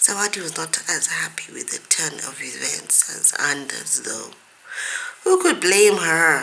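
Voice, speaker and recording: Noticeable background noise sits behind this recording. A woman speaks very slowly at a medium pitch. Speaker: author. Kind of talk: reading aloud.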